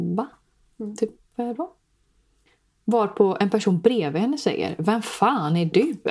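The intonation is lively, broken up by long, frequent pauses. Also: woman, fairly high pitch for a woman. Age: 20s. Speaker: podcast host. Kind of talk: casual chat.

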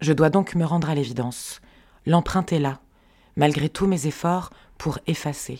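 A woman with a very deep, low pitch and a dark, mellow tone speaks at a fairly slow pace with long, frequent pauses. Her intonation is fairly even, in a very clean recording with a silent background. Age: 40s. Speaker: podcast creator. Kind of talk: personal narration.

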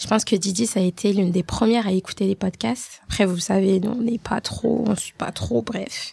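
Vocal fry runs through speech at a moderate pace with hardly any pauses and ordinary pitch variation. The sound is dry and close, with no echo. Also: woman, medium pitch for a woman. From Haitian family. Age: 30s. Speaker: podcast co-host. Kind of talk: casual chat. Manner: talkative, animated.

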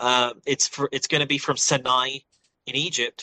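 A man's bright, sharp voice at medium pitch, with an English accent, monotone and flat, at a fairly slow pace, in a dry, close sound with no echo. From England. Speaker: political science instructor and author. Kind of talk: interview.

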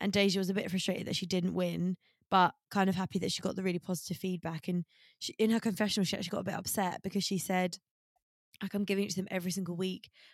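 A woman's very fast, monotone delivery at medium pitch with a British accent, flat in intonation, dry and close with no echo. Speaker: podcast co-host. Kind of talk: casual chat.

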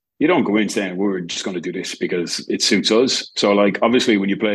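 This man has an Irish accent and a fairly low pitch. He talks at a fairly quick pace. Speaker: rugby attack coach. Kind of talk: interview. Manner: halting.

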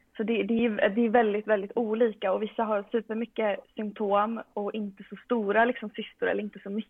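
A woman's fairly high voice with monotone, flat intonation at a moderate pace. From Sweden, Västerås. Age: 20s. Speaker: medical student and powerlifter. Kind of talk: casual interview.

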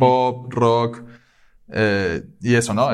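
A plain, everyday voice from a man, medium in pitch, with fairly even intonation at a moderate pace. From Venezuela, Caracas. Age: 20s. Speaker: engineer. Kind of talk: casual chat.

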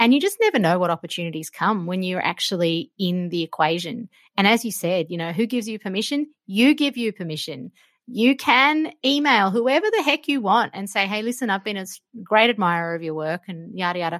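A woman with an Australian accent at a medium pitch and fairly quick pace, her intonation lively, in a dry, close sound with no echo. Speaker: cook and food broadcaster. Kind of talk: interview conversation.

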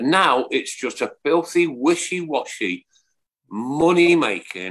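Speaking very slowly with a Birmingham accent, the man has a fairly high-pitched voice. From England. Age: 60s. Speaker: podcast host. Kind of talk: casual chat. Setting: live stream. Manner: animated.

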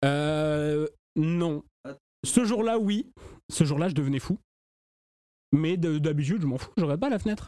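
A man's dark, mellow voice in a southern French accent, fairly slow, with long, frequent pauses. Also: fairly high pitch for a man, ordinary pitch variation. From southern France. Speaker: podcast host. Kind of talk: casual chat.

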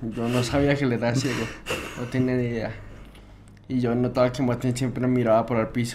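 In a room with audible echo, a man talks fairly quickly at a medium pitch in a monotone, flat intonation, leaving long, frequent pauses. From Bogotá, Colombia. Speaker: music producer and guitarist. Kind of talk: interview conversation.

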